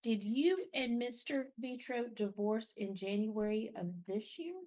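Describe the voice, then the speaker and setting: A woman speaks in a fairly high pitch with lively intonation. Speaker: judge. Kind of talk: court hearing. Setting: courtroom. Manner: loud.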